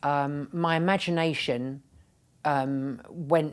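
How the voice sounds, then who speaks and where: Her voice sits very deep and low for a woman, and her intonation stays fairly even. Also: very clean recording, silent background. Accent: English. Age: 60s. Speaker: retired nurse and pharmaceutical executive turned patient advocate. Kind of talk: interview. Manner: halting.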